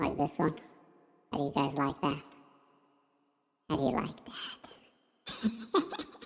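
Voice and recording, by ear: In a put-on character voice of middle pitch, the speaker moves at a moderate pace with long, frequent pauses.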